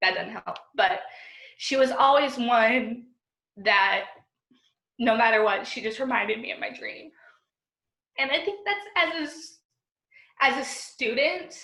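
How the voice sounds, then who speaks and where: In a raised, projected voice, a woman speaks at a high pitch with very wide pitch swings, big swings in loudness, and long, frequent pauses, with audible room echo around her. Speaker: job candidate for teaching post. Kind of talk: job interview over video call.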